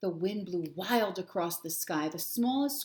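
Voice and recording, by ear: The text is read aloud in a natural voice.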